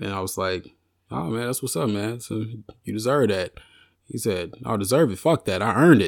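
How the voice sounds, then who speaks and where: A man with a fairly low pitch talks at a moderate pace on a very clean recording with a silent background. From US South, Arkansas. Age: 30s. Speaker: rapper and songwriter. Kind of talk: casual interview.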